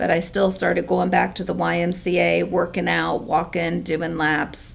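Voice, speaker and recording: A woman talks at a moderate pace. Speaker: product seller sharing personal story. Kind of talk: testimony.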